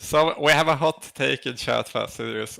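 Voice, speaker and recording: With a slight Swedish accent, a man speaks at a fairly slow pace in a bright, sharp tone with ordinary pitch variation. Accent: Swedish, mild. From Sweden. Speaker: co-streamer, gamer. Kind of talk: live stream chat, reading chat.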